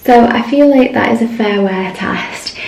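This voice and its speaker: A woman speaks quietly with ordinary pitch variation. Audible room echo and noticeable background noise surround her voice. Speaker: beauty vlogger. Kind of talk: product review vlog.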